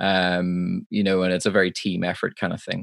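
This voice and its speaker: A man with a Northern Irish accent speaks in a very deep, low voice, with a dry, close sound and no echo. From Northern Ireland. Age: 20s. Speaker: live sound engineer. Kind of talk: casual interview. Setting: video call. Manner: halting.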